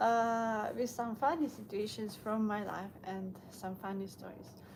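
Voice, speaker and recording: Speaking at a fairly slow pace, a woman with a Ukrainian accent has a fairly high pitch and a somewhat breathy voice. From Ukraine. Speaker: vlogger. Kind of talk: casual live stream monologue while walking. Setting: outdoors on a walk, snowing. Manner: halting, many fillers.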